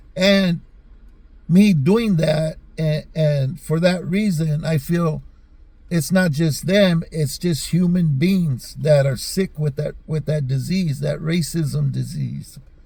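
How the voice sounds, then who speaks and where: In an American accent, the dark, mellow voice moves at a very slow pace with ordinary pitch variation. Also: man, fairly high pitch for a man. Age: 60s. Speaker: YouTube commentator. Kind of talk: casual commentary monologue. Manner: halting, many fillers and repeats.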